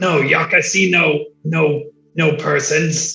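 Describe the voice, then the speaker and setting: With faint music playing behind him, a man puts on a raspy, fairly high-pitched character voice. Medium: actual play. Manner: broken, clipped speech.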